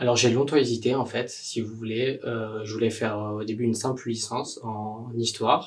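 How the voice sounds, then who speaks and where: Over noticeable background noise, a man talks at a moderate pace with hardly any pauses, his medium pitch held in a monotone, flat intonation. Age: 20s. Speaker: university student. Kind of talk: testimony. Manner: hesitant, many fillers.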